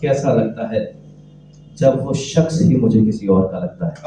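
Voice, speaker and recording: A man speaks over noticeable background noise. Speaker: poet. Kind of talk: poetry reading. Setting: live open mic event.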